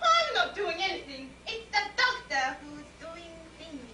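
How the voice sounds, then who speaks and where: Putting on a character voice, a woman speaks at a fairly slow pace in an extremely high pitch. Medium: stage play.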